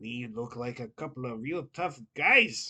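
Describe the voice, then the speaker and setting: A woman puts on a gruff character voice, pitched very deep and low. She speaks at a fairly slow pace in a very clean recording with a silent background. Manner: tough, gruff.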